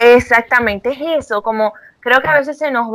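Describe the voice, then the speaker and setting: A woman talks at a moderate pace, her voice fairly high with ordinary pitch variation. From Venezuela. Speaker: psychologist. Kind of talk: casual interview. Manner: hesitant, filler-heavy.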